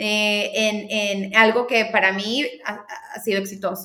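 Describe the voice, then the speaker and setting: A woman speaks at a fairly slow pace and a fairly high pitch. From Venezuela, Caracas. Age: 30s. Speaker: marketing specialist. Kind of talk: interview conversation.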